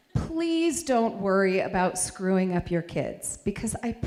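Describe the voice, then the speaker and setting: A woman at a fairly slow pace, her pitch swinging very widely, with audible room echo. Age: 50s. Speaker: stand-up comedian. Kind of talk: stand-up.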